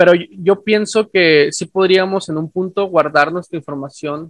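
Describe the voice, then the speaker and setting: A man talks at a fairly slow pace in a plain, everyday voice. His pitch varies in an ordinary way. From northern Mexico. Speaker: podcast host, science communicator. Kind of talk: casual chat.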